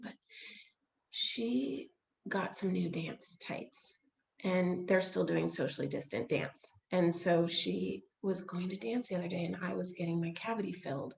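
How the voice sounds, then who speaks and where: A woman puts on a raspy character voice, quiet and fairly low-pitched. She speaks at a moderate pace with lively intonation. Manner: hushed, quiet.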